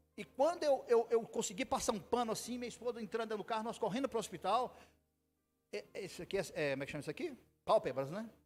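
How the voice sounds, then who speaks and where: Over music in the background, the voice sounds animated and swings very widely in pitch. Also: man. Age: 60s. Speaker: pastor. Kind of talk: sermon. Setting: church.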